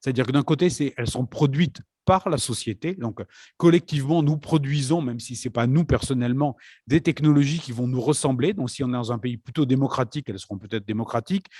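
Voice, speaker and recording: This man's somewhat breathy voice sits at a medium pitch with a dark, mellow tone, recorded dry and close with no echo. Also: ordinary pitch variation, fairly quick pace, very clean recording, silent background. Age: old. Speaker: conference moderator. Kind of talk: conference talk. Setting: parish hall conference.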